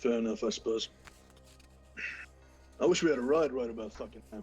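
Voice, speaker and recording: Over faint music in the background, a man does a put-on, raspy character voice at a medium pitch for a man. He moves at a fairly quick pace with lively intonation and big swings in loudness. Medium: actual play. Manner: curt, crude.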